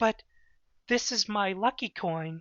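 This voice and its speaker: The voice is a put-on character. A man delivers it at a high pitch. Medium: read story. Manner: self-assured, teasing.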